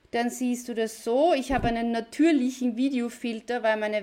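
The speaker is a woman. She has a Viennese accent. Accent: Viennese Austrian German. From Austria, near Vienna. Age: 40s. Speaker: online business video coach. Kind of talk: live video tutorial. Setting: live video stream from computer.

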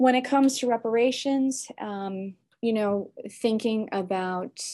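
Against a quiet background, a woman speaks in an American accent with ordinary pitch variation. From US Midwest, Chicago suburbs. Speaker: law and philosophy professor. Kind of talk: interview. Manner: halting, many fillers and restarts.

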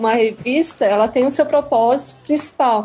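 Over noticeable background noise, a woman with a high pitch speaks at a moderate pace and with fairly even intonation. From Santa Catarina, Brazil (Criciúma). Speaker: comics blogger and design student. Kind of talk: casual interview.

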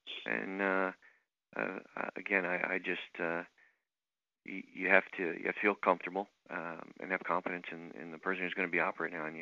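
A man with a very deep, low pitch and vocal fry talks at a fairly quick pace, with long, frequent pauses. His intonation is fairly even, while his loudness swings widely. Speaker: plastic surgeon. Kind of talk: radio interview.

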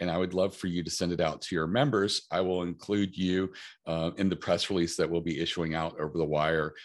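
Against a quiet background, a man with a very deep, low voice talks at a fairly quick pace with ordinary pitch variation. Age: middle-aged. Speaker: press release company founder. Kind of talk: interview.

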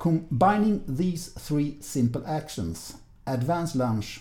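A man speaks with lively intonation in a dark, mellow tone that is somewhat breathy. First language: Swedish. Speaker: podcast host, fencing interviewer. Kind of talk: interview; scripted narration.

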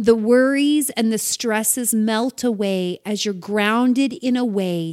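This is an unforced reading voice. It reads the words aloud.

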